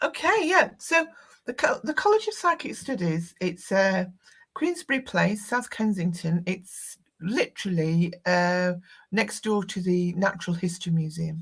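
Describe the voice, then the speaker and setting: Somewhat breathy, a woman speaks at a fairly slow pace with lively intonation. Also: medium pitch for a woman. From northern England. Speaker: tarot teacher and psychic medium. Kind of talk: live interview chat. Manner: halting, many fillers and restarts.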